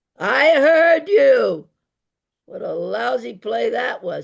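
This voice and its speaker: A man does a raspy, put-on character voice. He speaks very slowly. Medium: audio drama. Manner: blunt, cranky.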